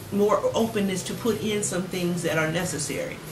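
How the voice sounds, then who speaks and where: Amid noticeable background noise and audible room echo, a woman speaks at a moderate pace in a medium pitch with ordinary pitch variation. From San Francisco, California. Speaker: youth agency founder. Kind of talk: TV interview.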